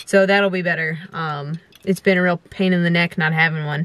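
A woman talks at a fairly quick pace in a flat, monotone delivery. The sound is dry, with no echo. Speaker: vlogger. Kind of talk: casual vlog chat. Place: car. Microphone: camera far.

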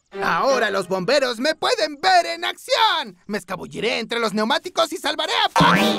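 Over faint music in the background, a man does a put-on character voice at an extremely high pitch, swinging very widely in pitch at a moderate pace. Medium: fan dub. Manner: boastful, excitable.

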